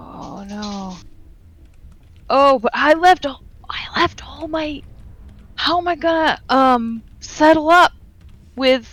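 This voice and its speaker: This put-on character voice is high and whiny. It moves at a very slow pace with long, frequent pauses. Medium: actual play. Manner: stammering, wheedling.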